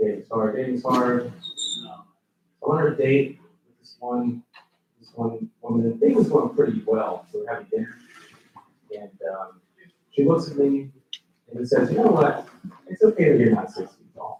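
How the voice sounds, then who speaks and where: A man with a Spanish accent, a dark, mellow tone and a fairly high pitch, somewhat breathy, with very wide pitch swings, big swings in loudness and long, frequent pauses. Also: moderate pace. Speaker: comedian. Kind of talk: stand-up. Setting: stage with audience.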